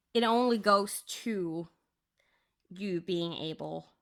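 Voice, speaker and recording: In a Norwegian accent, a woman speaks at a very slow pace and a medium pitch with ordinary pitch variation, captured in a very clean recording with a silent background. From Norway. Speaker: crafting YouTuber. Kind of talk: casual chat.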